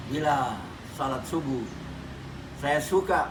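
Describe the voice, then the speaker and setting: Amid noticeable background noise and audible room echo, a man with fairly high pitch speaks at a very slow pace. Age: 70s. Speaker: Islamic preacher, professor. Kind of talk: religious talk.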